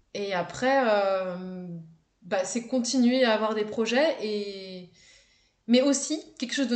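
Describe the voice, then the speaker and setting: A woman's fairly high voice at a very slow pace with ordinary pitch variation. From France, Haute-Savoie. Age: 20s. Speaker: travel content creator. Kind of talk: casual interview chat. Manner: hesitant, many fillers and repetitions.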